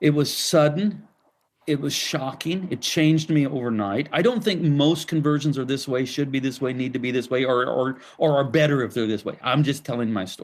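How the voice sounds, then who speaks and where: A man with an ordinary speaking voice talks at a fairly high pitch, keeping a moderate pace and ordinary pitch variation. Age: 60s. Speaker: pastor and author. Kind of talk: interview.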